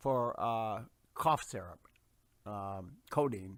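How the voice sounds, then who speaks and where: A man at a medium pitch with lively intonation, on a very clean recording with a silent background. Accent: American. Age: 60s. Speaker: Vietnam veteran in recovery. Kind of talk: personal testimony. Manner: halting, many fillers.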